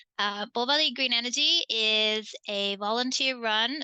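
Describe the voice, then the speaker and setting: The woman's voice is fairly high and bright, with a sharp tone. Her pitch varies in an ordinary way. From England. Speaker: community energy co-op board member, environmental program coordinator. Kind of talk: online panel presentation.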